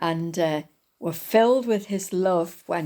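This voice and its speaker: A woman's medium-pitched voice with a dark, mellow tone, in a very clean recording with a silent background. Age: 80s+. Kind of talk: devotional talk. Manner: hesitant, many fillers.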